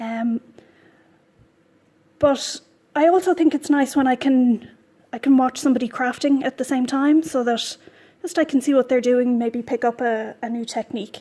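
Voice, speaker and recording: A woman with an Irish accent, high-pitched, at a moderate pace with fairly even intonation and long, frequent pauses. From Ireland. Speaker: knitting podcaster. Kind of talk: casual vlog chat while knitting. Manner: hesitant, many ums and repeats.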